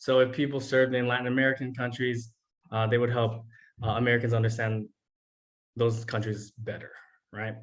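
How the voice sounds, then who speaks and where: Speaking fairly quickly at medium pitch, a man delivers his lines in a flat monotone. Long pauses come often. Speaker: teacher. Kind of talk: presentation to students. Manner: casual, many fillers.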